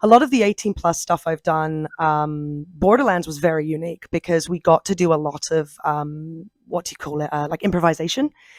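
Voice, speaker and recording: A woman's fairly low voice with a British accent, ordinary pitch variation and a fairly quick pace, dry and close with no echo. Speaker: voice actor. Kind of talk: interview.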